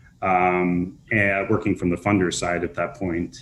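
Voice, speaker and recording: In a very deep, low voice with a slight Minnesota accent, a man speaks on a very clean recording with a silent background. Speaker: nonprofit housing developer. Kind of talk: panel discussion.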